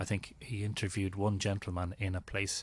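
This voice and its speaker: On a very clean recording with a silent background, a man with an Irish accent speaks at a moderate pace in a somewhat breathy voice. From Ireland, Drogheda. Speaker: mythology and ancient sites researcher. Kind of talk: podcast interview.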